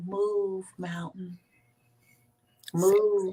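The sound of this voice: The speaker is soft-spoken, doing a put-on character voice. Pitch sits in the middle, with monotone, flat intonation.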